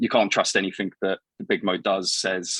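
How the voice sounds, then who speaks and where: A man with a British accent at a fairly low pitch and a fairly quick pace, in a dry, close sound with no echo. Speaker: guest co-host. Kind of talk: casual chat. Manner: halting, repeats words.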